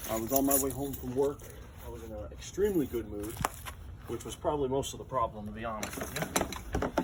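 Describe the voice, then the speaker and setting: A man with an American accent talks at a fairly quick pace, his loudness swinging widely. Noticeable background noise is present. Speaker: motorized bicycle vlogger. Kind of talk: casual walkaround vlog. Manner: casual, rambling with fillers.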